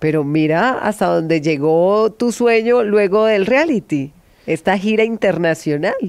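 Her loudness stays very even as this woman talks at a fairly slow pace with lively intonation, the sound dry with no echo over a quiet background. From Colombia, Caquetá (Florencia); Caquetá, Colombia. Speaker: podcast host; podcast host interviewer. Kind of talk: interview. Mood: warm, friendly, smiling. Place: studio. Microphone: studio mic.

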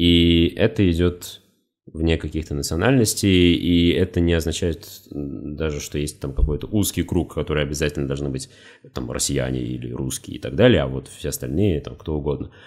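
Very deep, low male voice, its pitch variation ordinary. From Russia, Khimki, Moscow region. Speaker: YouTube educational channel author. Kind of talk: solo podcast monologue. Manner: slow, measured.

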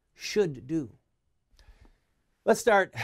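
The man's speech moves at a moderate pace over a quiet background. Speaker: show host. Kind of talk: commentary. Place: studio. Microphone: lapel.

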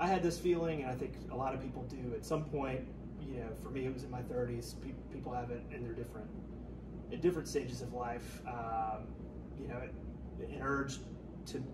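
A man talks at a fairly quick pace with noticeable background noise around him. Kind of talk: interview answer. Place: home room. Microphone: camera far.

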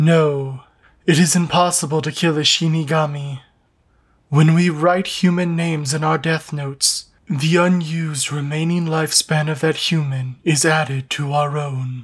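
A man puts on a character voice with a fairly high pitch, speaking at a moderate pace. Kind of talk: solemn storytelling. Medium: fan dub. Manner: calm, formal, detached.

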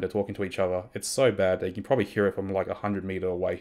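There's a man talking. Nothing can be heard behind him. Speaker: streamer. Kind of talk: tech review talk. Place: home room. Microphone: studio mic.

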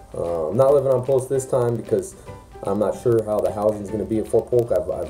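A man speaks at a very fast pace with faint music in the background. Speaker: soldier vlogger. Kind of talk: casual vlog chat. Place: home room. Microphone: phone near.

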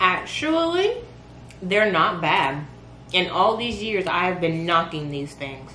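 A woman's voice at a very slow pace, with audible room echo and light background noise. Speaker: vlogger. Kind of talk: casual vlog chat. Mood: playful, joking. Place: kitchen. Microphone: camera far.

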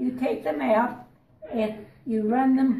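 A woman is speaking. Light background noise and audible room echo are present. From rural American Midwest. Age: 80s+. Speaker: museum visitor explaining history. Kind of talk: casual spoken explanation. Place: hall. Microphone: phone near.

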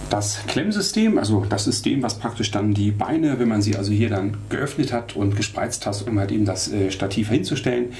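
Over light background noise, a man with an unremarkable speaking voice talks at a moderate pace, his fairly low pitch carried by fairly even intonation. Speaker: camera shop product reviewer. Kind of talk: product demo tutorial. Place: studio.

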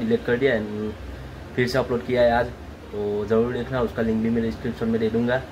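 At a moderate pace, a man speaks with monotone, flat intonation against noticeable background noise. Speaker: vlogger. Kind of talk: casual vlog chat. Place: home room. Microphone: phone near.

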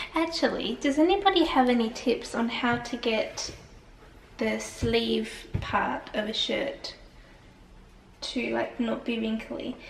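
A woman with an Australian accent speaks at a very slow pace with long, frequent pauses, with audible room echo and light background noise. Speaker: vlogger. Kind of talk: casual vlog chat to camera. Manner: chatty, informal, laughs often. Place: home room. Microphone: phone near.

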